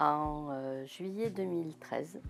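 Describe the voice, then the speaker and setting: A woman's very deep, low voice at a very slow pace, with music in the background. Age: 60s. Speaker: breast cancer survivor. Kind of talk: testimony. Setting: studio. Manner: halting, many hesitations.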